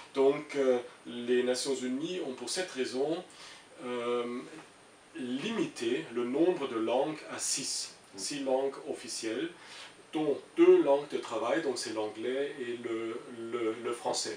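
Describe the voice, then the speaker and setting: With noticeable background noise behind him, a man speaks at a very slow pace with long, frequent pauses. His pitch is medium, with ordinary variation. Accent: German. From Germany. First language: German (speaking French). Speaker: international civil servant. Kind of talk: interview. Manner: halting, many hesitations.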